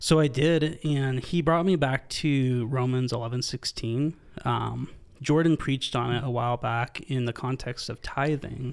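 A man with a plain, everyday voice speaks at a medium pitch, a fairly slow pace and a fairly even intonation, in a very clean recording with a silent background. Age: 20s. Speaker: church staff member, podcast guest. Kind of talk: casual chat.

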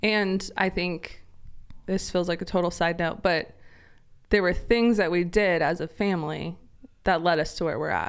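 A woman with an American accent and an ordinary speaking voice speaks at a moderate pace, with a fairly low pitch and fairly even intonation, on a very clean recording with a silent background. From US, Idaho (Eagle). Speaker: ministry executive director. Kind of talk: casual interview conversation.

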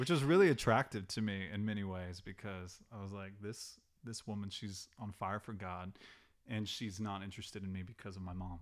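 A normal speaking voice, this man talks at a fairly quick pace with an American accent, fairly low pitch and fairly even intonation on a very clean recording with a silent background. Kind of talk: casual chat; teaching.

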